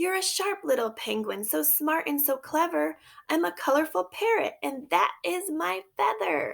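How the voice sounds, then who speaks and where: A woman performs a put-on character voice. Her pitch is high. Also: moderate pace. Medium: read story.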